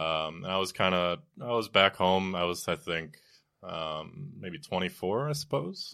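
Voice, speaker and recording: A man with an American accent speaks at a fairly slow pace in a very deep, low voice, his intonation lively. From Wisconsin. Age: 30s. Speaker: podcast guest, musician. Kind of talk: casual chat.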